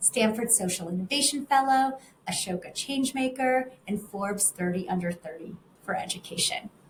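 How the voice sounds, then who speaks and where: Lively intonation runs through speech that is somewhat breathy. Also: woman. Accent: American. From family emigrated from Russia to the US. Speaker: interview host, communications director. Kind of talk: interview. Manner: scripted introduction.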